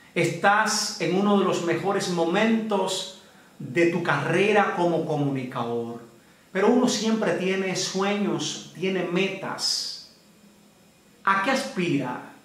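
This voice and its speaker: A man talks at a very slow pace in a high pitch. Audible room echo surrounds his voice. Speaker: interviewer, news channel host. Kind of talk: interview questions. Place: home room.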